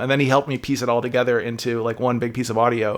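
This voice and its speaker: A man is speaking. The recording is very clean with a silent background. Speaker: game developer. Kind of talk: casual interview chat. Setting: podcast recording. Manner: chipper, goofy and laughy.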